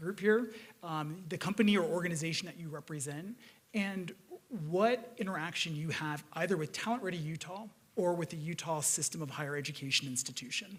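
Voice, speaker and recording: This man has a fairly high pitch and ordinary pitch variation. He speaks at a fairly quick pace. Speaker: panel moderator, higher education official. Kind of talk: panel moderation. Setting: stage with audience. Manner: casual.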